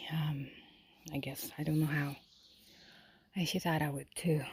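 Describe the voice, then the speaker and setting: A woman's very deep, low voice in a Polish accent, dark and mellow in tone, somewhat breathy, with monotone, flat intonation. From Poland. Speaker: lifestyle vlogger. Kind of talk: personal monologue to camera. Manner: hesitant, many fillers.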